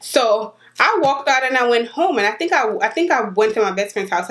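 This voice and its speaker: Talking at a very fast pace in an animated tone, a woman with a high pitch is heard over noticeable background noise. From Jamaica. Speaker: YouTuber. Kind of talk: storytime vlog.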